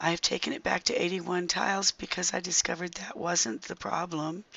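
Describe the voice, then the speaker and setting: At a moderate pace, a woman speaks in a fairly low pitch with ordinary pitch variation over noticeable background noise. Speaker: gaming video creator. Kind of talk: gameplay commentary. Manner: halting, many fillers.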